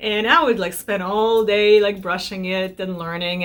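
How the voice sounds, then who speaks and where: The speaker has a Russian accent and talks at a fairly slow pace. The pitch varies in an ordinary way. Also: woman. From Belarus. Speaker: lifestyle vlogger. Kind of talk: casual chat to camera. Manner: conversational with self-corrections.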